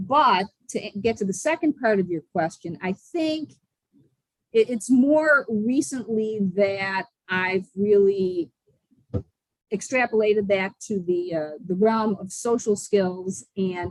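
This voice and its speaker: A medium-pitched woman with an American accent, very slow pace and lively intonation. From Buffalo, New York. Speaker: social skills coach. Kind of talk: podcast interview answer. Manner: enthusiastic.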